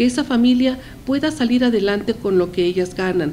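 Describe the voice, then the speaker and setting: Over light background noise, a woman speaks at a high pitch and a moderate pace. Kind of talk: opinion commentary to camera. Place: office. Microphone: handheld.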